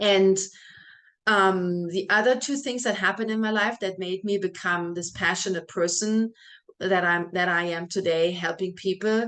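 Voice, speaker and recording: A woman speaks at a medium pitch with a German accent and ordinary pitch variation. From Germany, small village. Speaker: health and fitness coach. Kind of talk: welcome video talk to clients.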